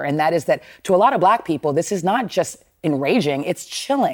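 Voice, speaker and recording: A plain, everyday voice from a woman, fairly low in pitch, with lively intonation at a moderate pace, on a very clean recording with a silent background. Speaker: news panelist. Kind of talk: TV news panel discussion.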